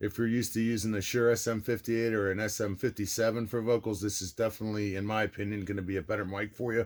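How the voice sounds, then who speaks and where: A man talking very fast on a very clean recording with a silent background. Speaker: product reviewer. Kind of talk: product review. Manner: casual.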